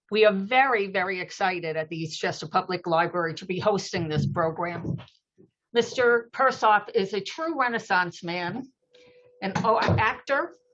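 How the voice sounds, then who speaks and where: A woman with an unremarkable speaking voice talks at a moderate pace in a medium pitch, her intonation lively and her loudness swinging widely. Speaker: library program host. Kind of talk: event introduction.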